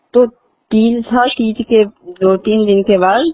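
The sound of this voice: Dark and mellow in tone, the voice moves at a slow pace with fairly even intonation. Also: woman, fairly high pitch for a woman.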